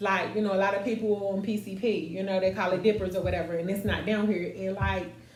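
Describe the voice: In a room with audible echo, a woman speaks fast at a medium pitch with little pitch movement.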